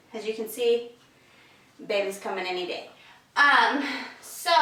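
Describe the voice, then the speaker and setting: A woman uses a raised, projected voice with lively intonation at a moderate pace. Noticeable background noise and audible room echo fill the recording. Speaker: home decor vlogger. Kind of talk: casual tutorial. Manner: casual with filler ums.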